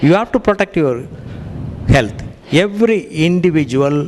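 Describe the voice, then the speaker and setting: With lively intonation, a man keeps a moderate pace as noticeable background noise continues. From India. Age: 60s. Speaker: cardiologist. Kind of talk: lecture.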